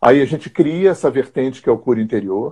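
Moderately paced speech from a man with a dark, mellow tone and ordinary pitch variation. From Rio de Janeiro, Brazil. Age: 60s. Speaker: therapist and teacher. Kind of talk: interview on spirituality.

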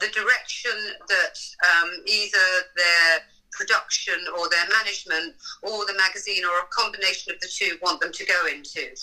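A woman with an English accent, medium pitch and a moderate pace, over noticeable background noise. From England. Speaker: fashion stylist. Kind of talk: casual interview.

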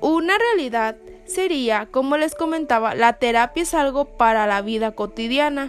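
Against noticeable background noise, a woman with a high pitch and lively intonation talks at a moderate pace. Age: 20s. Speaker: psychologist. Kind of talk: solo podcast talk.

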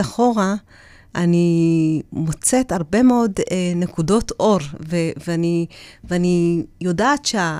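A woman speaks very slowly in a dark, mellow tone at a fairly low pitch, with ordinary pitch variation. The recording is very clean, with a silent background. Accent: Ethiopian. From Ethiopia. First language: Amharic (speaking Hebrew). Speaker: public speaker and former deputy mayor. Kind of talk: interview, personal life story. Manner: hesitant, with fillers.

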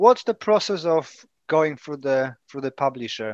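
A man's lively intonation in a dry, close sound with no echo, against a quiet background. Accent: Polish. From Poland. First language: Polish. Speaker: self-published author, martial artist. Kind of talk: casual chat.

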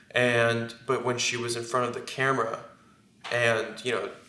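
Fairly slow speech with noticeable background noise and audible room echo. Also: man. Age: 20s. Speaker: book cover model. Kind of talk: casual chat.

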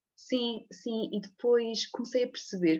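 A woman at a fairly slow pace with ordinary pitch variation, set against a quiet background. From Portugal, Leiria area. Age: 30s. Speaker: physiotherapist. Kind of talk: interview conversation. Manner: halting, many repetitions and fillers.

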